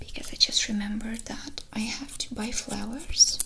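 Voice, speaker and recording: Soft-spoken and gentle in tone, a woman talks at a moderate pace over noticeable background noise. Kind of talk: roleplay chat to viewer, ASMR-like. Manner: soft-spoken, gentle ASMR voice. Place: home room.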